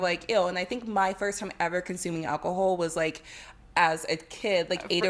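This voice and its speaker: With a New York accent, a woman speaks at a moderate pace. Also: medium pitch for a woman, fairly even intonation. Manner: casual, chatty.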